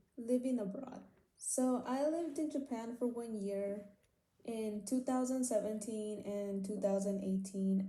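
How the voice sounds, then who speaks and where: A woman's fairly slow, fairly even-toned delivery with audible room echo. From California Central Valley, raised bilingual after early childhood in Mexico. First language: Spanish. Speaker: university student. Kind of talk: class presentation. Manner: reads from script, somewhat halting.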